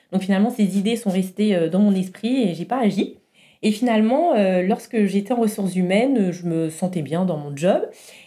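This woman has a dark, mellow tone at a medium pitch. She talks at a moderate pace. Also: ordinary pitch variation. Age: 30s. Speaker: entrepreneur and former HR professional. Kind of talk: podcast interview.

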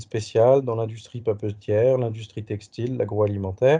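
A man's medium-pitched, somewhat breathy voice with a dark, mellow tone, monotone and flat at a moderate pace, over a quiet background. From Paris, France. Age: 40s. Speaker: HR professional, burnout survivor. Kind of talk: interview testimony. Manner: hesitant, many fillers.

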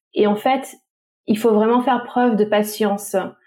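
A woman with a dark, mellow tone and a fairly high pitch speaks fairly slowly in a monotone, flat intonation. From Tahiti. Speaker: travel agency founder. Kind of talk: casual interview.

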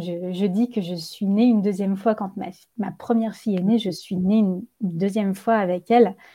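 A woman's somewhat breathy voice, dark and mellow in tone, at a fairly slow pace with fairly even intonation, on a very clean recording with a silent background. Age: 30s. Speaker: yoga teacher and wellness practitioner. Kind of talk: casual interview. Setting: podcast recording.

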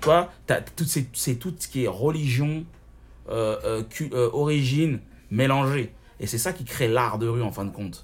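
Speaking at a medium pitch, a man sounds somewhat breathy, with ordinary pitch variation. He goes at a fairly slow pace with long, frequent pauses. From Paris suburbs, France. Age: 30s. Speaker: rapper and online show host. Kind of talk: casual interview. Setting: restaurant. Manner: talkative.

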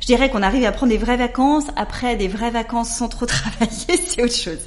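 Noticeable background noise and audible room echo surround this recording. A woman speaks at a fairly high pitch and a moderate pace. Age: 40s. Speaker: entrepreneur. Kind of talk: casual chat. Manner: halting.

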